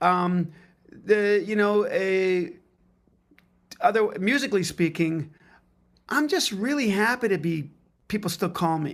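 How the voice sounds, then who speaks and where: A man's high-pitched voice with a Canadian accent, fairly slow, with long, frequent pauses. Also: ordinary pitch variation. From Canada. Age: 60s. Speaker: drummer and music educator. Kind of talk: casual chat.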